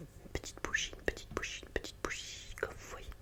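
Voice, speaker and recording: A man whispering at a moderate pace over noticeable background noise. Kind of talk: ASMR improvisation talking to camera. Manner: soft, relaxed, close to microphone.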